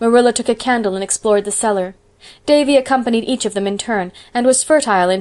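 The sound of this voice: The pitch varies in a normal way across an unforced reading voice.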